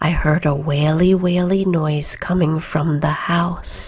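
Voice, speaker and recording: Soft-spoken and somewhat breathy, a woman talks very slowly at a fairly low pitch with monotone, flat intonation. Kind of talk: bedtime story reading. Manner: soft-spoken, quiet.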